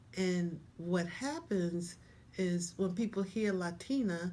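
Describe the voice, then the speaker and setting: A woman's fairly low-pitched voice at a very slow pace, with audible room echo. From Panama, Colón. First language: Spanish. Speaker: interviewee sharing life story. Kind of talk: interview.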